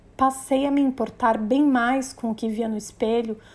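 A woman's fairly high voice, fairly slow and fairly even in intonation. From Brazil, Maranhão (São Luís). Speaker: journalist and podcast host. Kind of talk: personal narration.

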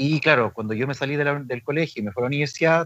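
A man at a very fast pace, medium in pitch. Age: 40s. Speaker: aikido teacher and therapist. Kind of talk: casual interview.

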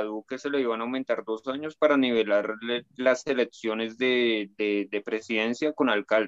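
A man at a moderate pace, an ordinary speaking voice with ordinary pitch variation. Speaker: guest. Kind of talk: casual chat.

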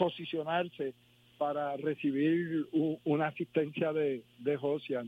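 A man's voice, fairly high in pitch. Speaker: former basketball player. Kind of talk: phone interview. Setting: phone call.

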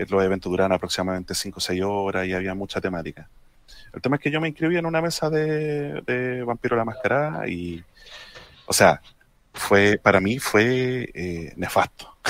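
This man talks at a moderate pace in a fairly low pitch with a Chilean accent, his pitch swinging very widely. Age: 30s. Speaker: tabletop role-playing gamer. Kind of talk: casual panel chat. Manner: halting.

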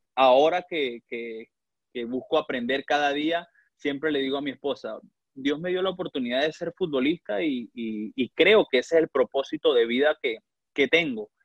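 Fairly high male voice at a moderate pace, with ordinary pitch variation. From Venezuela (Valera, Trujillo). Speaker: professional footballer. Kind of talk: interview. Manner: halting, with frequent word repetitions.

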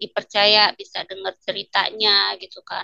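Her bright, sharp tone and medium pitch come through in a dry, close sound with no echo as this woman speaks. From Lampung, Indonesia. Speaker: complaint officer for violence victims. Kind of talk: interview. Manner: casual, hesitant with fillers.

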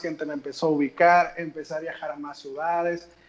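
This man speaks with a high pitch. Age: 20s. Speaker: football fan influencer. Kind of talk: casual chat.

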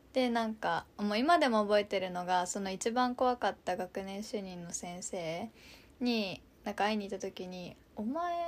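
Recorded very cleanly against a silent background, a woman speaks at a moderate pace with a medium pitch, an animated tone, lively intonation and big swings in loudness. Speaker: podcast co-host, daughter recounting her study abroad. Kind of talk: casual chat. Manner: animated, laughing often.

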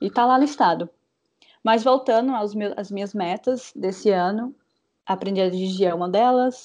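A woman in a plain, everyday voice, medium pitch and ordinary pitch variation, at a fairly slow pace over a quiet background. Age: 20s. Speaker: podcast co-host, graphic designer. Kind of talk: casual chat.

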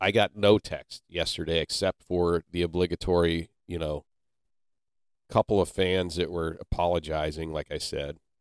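A man with an American accent speaks in a very deep, low pitch and a monotone, flat intonation at a moderate pace, his loudness swinging widely. The sound is dry and close with no echo, on a very clean recording with a silent background. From Ohio (Canton). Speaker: podcast host. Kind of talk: casual chat. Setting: studio.

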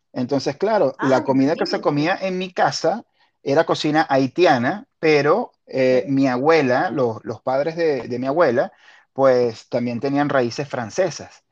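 A man with a plain, everyday voice speaks fairly slowly at a fairly high pitch with ordinary pitch variation, the sound dry and close with no echo and the background quiet. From Venezuela, La Guaira. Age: 40s. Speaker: podcast host. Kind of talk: casual chat.

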